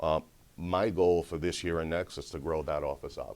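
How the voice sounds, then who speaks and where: Fairly even intonation and a moderate pace from a man with a very deep, low pitch. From Rhode Island (East Providence), moved from Brazil at seven. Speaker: sales and marketing director at a law firm. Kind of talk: casual business interview. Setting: mortgage company office.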